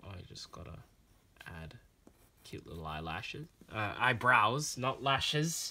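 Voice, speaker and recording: A man with a bright, sharp, animated tone speaks at a medium pitch and fairly slow pace, with long frequent pauses, vocal fry, very wide pitch swings and big swings in loudness. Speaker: drawing channel creator. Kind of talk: casual drawing tutorial vlog. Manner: rambling, animated.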